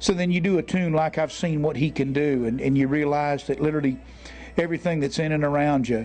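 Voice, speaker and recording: Music plays in the background. A man talks fairly quickly in a fairly high pitch with fairly even intonation. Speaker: country singer. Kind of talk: interview answer.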